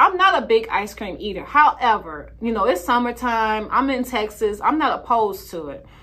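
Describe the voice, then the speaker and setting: An animated woman with an American accent at a fairly high pitch, bright and sharp in tone, with very wide pitch swings, big swings in loudness, hardly any pauses and a moderate pace. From Chicago. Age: 40s.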